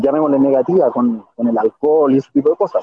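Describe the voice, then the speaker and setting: An unremarkable speaking voice from a man, pitched fairly high and lively in intonation. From Chile. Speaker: sports journalist. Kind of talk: interview. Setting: bus terminal, on the go.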